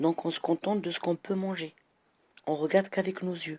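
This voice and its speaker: At a moderate speed, the speaker's tone comes across as dark and mellow. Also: woman. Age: 60s. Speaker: citizen vlogger. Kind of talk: monologue complaint. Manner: animated.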